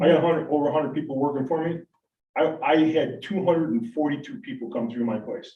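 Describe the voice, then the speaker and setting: Somewhat breathy and very fast, a man with an American accent speaks at a fairly high pitch. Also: ordinary pitch variation. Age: 60s. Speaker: waste hauling business owner. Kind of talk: public meeting presentation. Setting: town board meeting room. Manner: halting, many repetitions and fillers.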